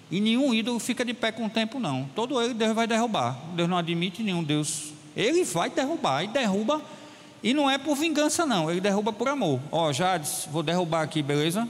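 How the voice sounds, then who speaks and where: This man has a high pitch and very wide pitch swings, speaking at a moderate pace in an animated tone with very even loudness. Audible room echo and noticeable background noise surround him. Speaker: pastor. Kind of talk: sermon.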